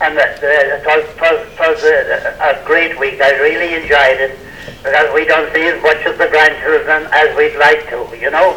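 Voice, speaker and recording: A man talks at a medium pace with clearly audible noise in the background. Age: 80s+. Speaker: former sports team member. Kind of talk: casual chat.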